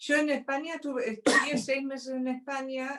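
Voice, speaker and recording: A woman is speaking. Her pace is moderate. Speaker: interview guest. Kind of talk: casual conversation.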